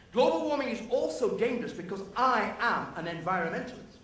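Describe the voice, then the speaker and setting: A man with a high voice talks at a fairly quick pace in a passionate tone, with noticeable background noise and audible room echo. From UK. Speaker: professor. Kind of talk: debate speech. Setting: stage with audience.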